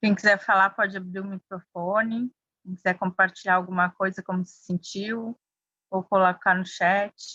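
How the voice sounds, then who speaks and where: A woman with a Bahian accent at a moderate pace, medium in pitch and monotone, flat in intonation, bright and sharp in tone with big swings in loudness, dry and close with no echo. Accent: Bahian Brazilian. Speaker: mindfulness workshop facilitator. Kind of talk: workshop discussion.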